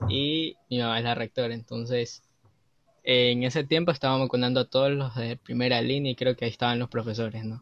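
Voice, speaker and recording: A man with an unremarkable speaking voice talks at a fairly quick pace. His pitch is medium and his intonation fairly even. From Ecuador. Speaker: university student. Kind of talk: casual chat.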